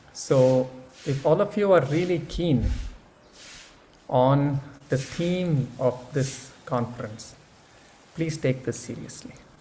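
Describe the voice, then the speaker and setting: In a room with audible echo, a man speaks very slowly in a fairly high voice with ordinary pitch variation and long, frequent pauses. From India. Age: 70s. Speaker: speaker at an academic conference. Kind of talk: keynote talk; answering audience questions. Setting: conference session with audience.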